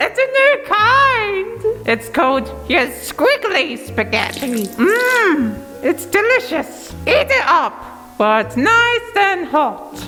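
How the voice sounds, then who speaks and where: Clear music plays in the background while a woman uses a put-on character voice at an extremely high pitch. She speaks very slowly. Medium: audio drama. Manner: shrill and theatrical.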